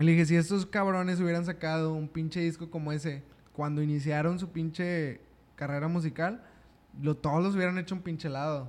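A plain, everyday voice at a fairly quick pace with fairly even intonation. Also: man, fairly high pitch for a man. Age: 20s. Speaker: podcast host. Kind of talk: casual chat.

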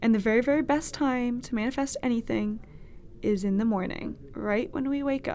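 A woman talks at a fairly slow pace in a Californian accent. Her pitch is fairly high, with ordinary variation. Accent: Californian American. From US West Coast, Berkeley, California (Bay Area). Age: 20s. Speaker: podcast host, college student. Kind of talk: casual solo monologue. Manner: casual, chatty with fillers.

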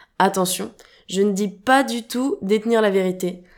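A woman talks at a moderate pace with ordinary pitch variation in a plain, everyday voice. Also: very clean recording, silent background. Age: 20s. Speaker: podcast host. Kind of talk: podcast monologue.

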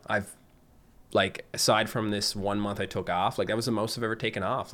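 In a Newfoundland accent, a man talks at a fairly quick pace. His pitch is fairly low and his intonation monotone and flat. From Newfoundland, Canada (Fogo Island). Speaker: gaming YouTuber. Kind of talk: casual chat. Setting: video call.

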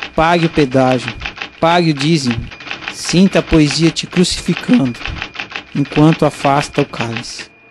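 With noticeable background noise behind it, the talking proceeds at a moderate speed, broken by long, frequent pauses. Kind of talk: poet spoken word, performed poem of repeated imperatives. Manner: measured, rhythmic, incantatory, with a refrain-like delivery.

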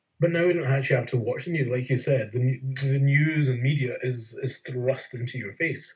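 With a Scottish accent, a man talks at a moderate pace with hardly any pauses, his medium-pitched, somewhat breathy voice keeping a fairly even intonation. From Scotland. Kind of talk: casual interview conversation.

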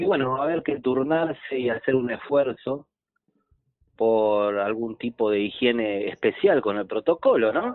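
An unremarkable speaking voice belongs to this man, medium in pitch with ordinary pitch variation. He talks at a fairly slow pace. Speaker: trophey maker, sponsor. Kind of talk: radio interview by phone.

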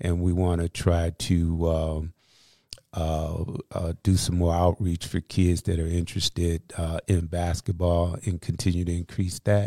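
In an American accent, the speaker talks at a fairly slow pace in a flat monotone with a dark, mellow tone, recorded very cleanly against a silent background with a dry, close sound and no echo. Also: man, very deep, low pitch for a man. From Aurora, Illinois, US Midwest. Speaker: community services director. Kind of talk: interview. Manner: halting, many fillers.

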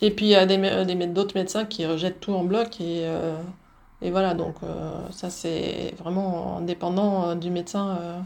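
Flat and monotone, a woman talks at a fairly slow pace and medium pitch. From southern France (Belgian Flemish roots). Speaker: homeopathic doctor. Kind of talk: interview. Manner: halting, many repetitions.

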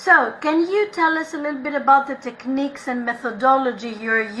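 A high-pitched woman's voice at a moderate pace, with noticeable background noise. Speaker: podcast host. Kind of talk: casual interview chat.

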